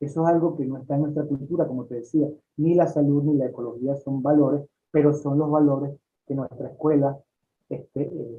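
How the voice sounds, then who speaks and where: Fairly quick man in a fairly high pitch, a normal speaking voice with fairly even intonation. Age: 60s. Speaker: holistic doctor and author. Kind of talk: interview.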